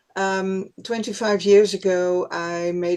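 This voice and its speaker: A woman with a non-native accent talks at a very slow pace. Her medium-pitched voice stays monotone and flat. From Netherlands. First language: Dutch. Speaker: workshop participant in recovery. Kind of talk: sharing testimony. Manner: hesitant.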